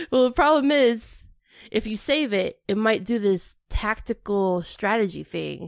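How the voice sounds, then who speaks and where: Recorded very cleanly against a silent background, a woman with a fairly high pitch speaks at a fairly slow pace in a plain, everyday voice, with ordinary pitch variation. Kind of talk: casual chat.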